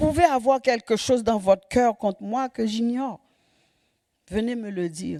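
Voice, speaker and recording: A woman's dark, mellow tone comes at a moderate pace in a very clean recording with a silent background and a dry, close sound with no echo. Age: 70s. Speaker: lay preacher. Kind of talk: sermon. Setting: church. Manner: animated.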